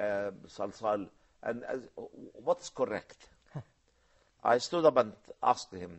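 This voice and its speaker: With an Arabic accent, a man speaks at a very slow pace with lively intonation and long, frequent pauses. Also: medium pitch for a man, big swings in loudness. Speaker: professor, Islamic science scholar. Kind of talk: TV discussion, explanatory talk. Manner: halting, many fillers.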